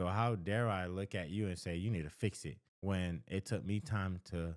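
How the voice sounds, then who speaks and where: A man with a Haitian accent and a very deep, low pitch, on a very clean recording with a silent background and a dry, close sound with no echo. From Haitian family in the United States. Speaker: counselor. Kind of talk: advice talk to camera. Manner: conversational, with false starts.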